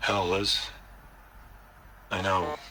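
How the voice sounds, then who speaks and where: Here a man does a raspy, put-on character voice at a fairly low pitch. Background noise is clearly heard. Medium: video game.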